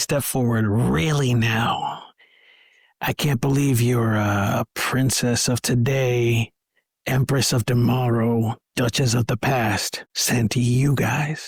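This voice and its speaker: A man speaks in a put-on character voice at a medium pitch and a fairly slow pace. The recording is very clean, with a silent background. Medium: actual play. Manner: cocky.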